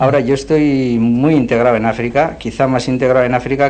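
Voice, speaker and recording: Against noticeable background noise, a man talks at a fairly quick pace, at medium pitch with ordinary pitch variation. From Navarre, Spain (Puente la Reina). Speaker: missionary. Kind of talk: radio interview. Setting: radio studio.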